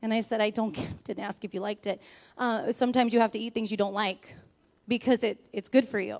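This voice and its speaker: Her fairly high-pitched voice moves at a fairly quick pace, the woman keeping a monotone, flat intonation throughout. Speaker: preacher. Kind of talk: sermon. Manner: fast.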